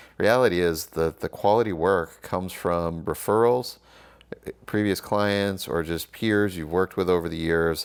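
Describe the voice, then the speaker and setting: At a moderate pace, a man talks with a very deep, low pitch and ordinary pitch variation. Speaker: cinematographer. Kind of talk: casual vlog.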